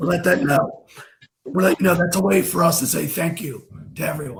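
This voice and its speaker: This man talks at a moderate pace, high in pitch, with ordinary pitch variation. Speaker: krav maga instructor. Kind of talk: interview host. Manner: enthusiastic.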